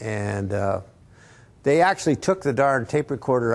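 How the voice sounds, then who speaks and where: At a moderate pace, a man speaks with ordinary pitch variation and a somewhat breathy voice. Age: 70s. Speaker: amplifier designer. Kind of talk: casual talk to a store audience. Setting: in-store event with audience. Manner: halting, many fillers and restarts.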